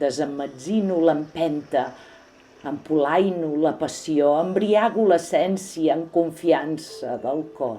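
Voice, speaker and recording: Very slow delivery with ordinary pitch variation over music in the background. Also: woman, very deep, low pitch for a woman. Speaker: poetry reciter. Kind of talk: reading aloud. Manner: calm.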